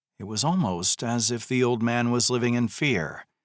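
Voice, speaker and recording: In an ordinary speaking voice, a man with an American accent talks at a moderate pace and medium pitch on a very clean recording with a silent background. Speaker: audiobook narrator. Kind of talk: audiobook narration.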